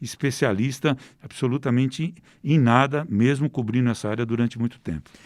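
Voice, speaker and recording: On a very clean recording with a silent background, a man with a plain, everyday voice talks at a moderate pace, medium in pitch with ordinary pitch variation. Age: 60s. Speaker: investigative crime reporter. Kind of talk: interview.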